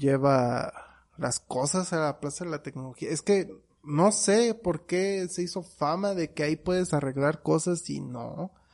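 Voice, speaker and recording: A man's fairly high voice against a quiet background. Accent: Mexican. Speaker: podcast co-host. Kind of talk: casual chat.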